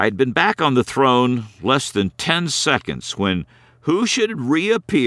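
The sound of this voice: Here the speaker reads in an unforced reading voice.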